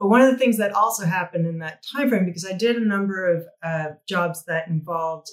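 A woman with an American accent and a plain, everyday voice, fairly low in pitch with ordinary pitch variation, at a fairly quick pace. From New Mexico, US. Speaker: visual effects executive. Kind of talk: interview.

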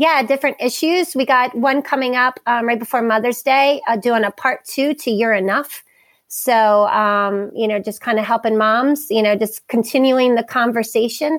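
In a Maryland accent, a woman speaks at a high pitch. Her loudness stays very even. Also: ordinary pitch variation, moderate pace, hardly any pauses. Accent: Maryland American. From US Mid-Atlantic (Harford County, Maryland). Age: 40s. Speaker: wellness center founder and youth coach. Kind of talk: interview conversation.

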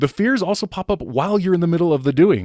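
The recording is very clean, with a silent background. A man speaks at a high pitch. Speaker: podcaster and financial planner. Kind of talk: casual interview chat.

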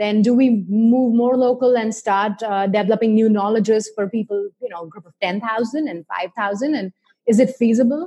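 This woman has a fairly high pitch and a dark, mellow tone that is somewhat breathy. She talks at a moderate pace with ordinary pitch variation and big swings in loudness. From India. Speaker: psychology instructor and podcast host. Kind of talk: scripted introduction; interview.

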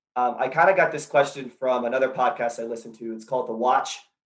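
In an American accent, a man of medium pitch talks at a very fast pace. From US South, Charleston, South Carolina. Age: 30s. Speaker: caller. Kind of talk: casual chat.

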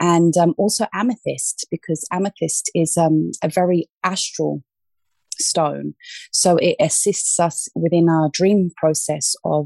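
Speaking very slowly in a London accent, a woman with a fairly low pitch and a dark, mellow tone keeps her intonation fairly even, her sound dry and close with no echo. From England, South West London. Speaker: crystal healer. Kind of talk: interview.

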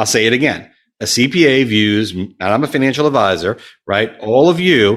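Heard on a very clean recording with a silent background, a man uses a normal speaking voice at a moderate pace with ordinary pitch variation. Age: 40s. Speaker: wealth management firm founder. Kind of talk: casual interview.

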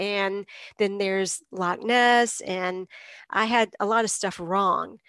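Recorded with a dry, close sound and no echo, a woman with an American accent speaks at a medium pitch. Hers is an unremarkable speaking voice with ordinary pitch variation. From eastern North Carolina (Greenville). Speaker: novelist and university literature teacher. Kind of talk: interview. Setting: video call.

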